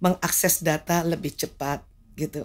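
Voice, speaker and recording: In an unremarkable speaking voice, a woman with fairly low pitch talks at a moderate pace with fairly even intonation. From Jakarta, Indonesia. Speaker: medical doctor; guest. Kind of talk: interview talk show. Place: studio. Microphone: studio mic.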